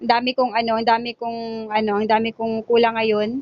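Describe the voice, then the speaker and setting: A woman speaks at a moderate pace. Her voice is fairly high in pitch. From Zamboanga del Norte, Philippines. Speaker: sari-sari store owner vlogger. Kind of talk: casual vlog narration. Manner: filler-heavy, halting.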